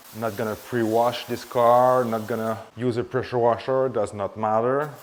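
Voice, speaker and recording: A man speaks with a Quebec accent at a moderate pace. His pitch is medium. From Quebec, Canada (Montreal). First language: French. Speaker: car detailing YouTuber. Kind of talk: tutorial with casual chat.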